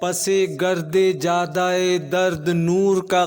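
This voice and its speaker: Music plays in the background as a man speaks in a high voice. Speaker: voice-over artist. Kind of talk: poetry reading.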